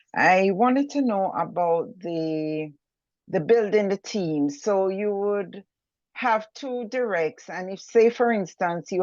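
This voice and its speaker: A woman in a Jamaican accent speaks at a very slow pace and medium pitch with ordinary pitch variation against a quiet background. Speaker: webinar attendee asking a question. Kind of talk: Q&A question.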